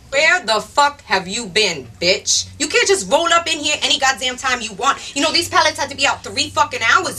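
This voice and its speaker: A woman uses a raised, projected voice with very wide pitch swings. Her pace is moderate. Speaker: actress playing a warehouse manager. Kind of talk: scripted dramatic dialogue, angry rant. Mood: furious, exasperated.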